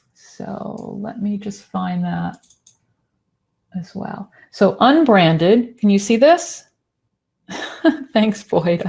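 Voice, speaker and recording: Very slow, somewhat breathy delivery with long, frequent pauses, lively intonation and big swings in loudness. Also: woman, medium pitch for a woman. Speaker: presenter giving a screen-share demo. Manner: casual, conversational.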